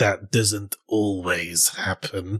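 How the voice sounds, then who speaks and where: A man does a put-on character voice in a monotone, flat intonation, recorded dry and close with no echo. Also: fairly low pitch for a man. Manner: sinister, theatrical.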